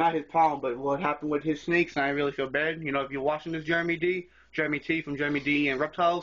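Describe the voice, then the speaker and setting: A man's fairly high voice at a very fast pace, in a monotone, flat intonation. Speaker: reptile keeper vlogger. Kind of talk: casual video tour. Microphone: phone recording.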